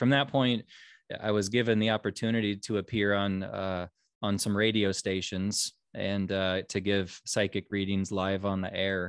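Speaking with a US Midwestern accent, a man keeps a fairly low pitch and a monotone, flat intonation at a moderate pace. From Nebraska, US Midwest (Omaha). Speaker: psychic medium and author. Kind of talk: interview. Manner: halting, many fillers and repeats.

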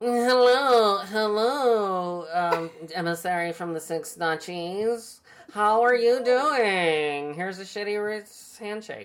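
This is a put-on character voice, fairly high in pitch and nasal. The pace is very slow.

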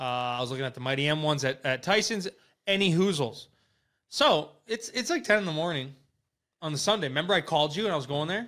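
Bright and sharp in tone, this voice has lively intonation and a fairly quick pace, with an Upper Midwest accent. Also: man. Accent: Upper Midwest American. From Wisconsin. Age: 20s. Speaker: podcast host. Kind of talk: casual chat. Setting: live stream.

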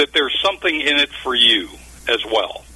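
Noticeable background noise fills the clip. A man talks through it. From Ohio, near Cleveland. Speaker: business consultant and author. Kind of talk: radio interview.

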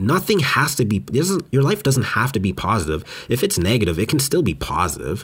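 An animated man with a Western Canadian accent. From Western Canada. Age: 20s. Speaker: podcast host. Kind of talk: solo monologue.

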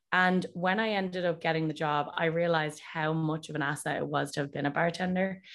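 Speaking in a Dublin accent, a woman with a very deep, low pitch talks at a moderate pace with fairly even intonation against a quiet background. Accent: Dublin Irish. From Ireland, Dublin. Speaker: whiskey brand ambassador. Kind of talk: casual interview.

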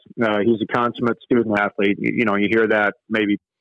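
A man with a Canadian Prairies accent talks at a moderate pace, his fairly low voice flat and monotone. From Canada, Manitoba. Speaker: college hockey coach. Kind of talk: casual interview. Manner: frequent filler words and repetitions.

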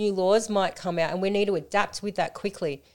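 Talking at a fairly quick pace, a woman speaks with an Australian accent. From Australia, Melton in western Melbourne. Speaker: co-founder of a women's support organisation, former nightclub runner. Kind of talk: casual podcast chat. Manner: animated.

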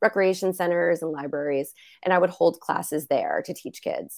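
A woman with an American accent and a plain, everyday voice, fairly low pitch, fairly even intonation and moderate pace, in a very clean recording with a silent background. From US, New Jersey. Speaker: business owner and coach. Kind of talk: casual interview chat.

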